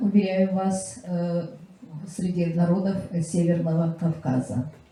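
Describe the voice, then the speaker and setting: A woman with a fairly low voice talks very slowly. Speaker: literary scholar and lecturer. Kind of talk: public presentation speech. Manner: halting with many filler sounds.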